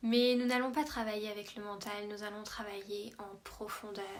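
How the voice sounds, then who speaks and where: With audible room echo, a woman speaks in a fairly high pitch with monotone, flat intonation. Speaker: emotional release coach. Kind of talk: promotional talk. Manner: slow.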